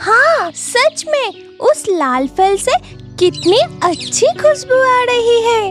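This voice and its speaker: A cartoonish character voice at an extremely high pitch speaks at a very slow pace over clear music in the background. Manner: calm, decisive.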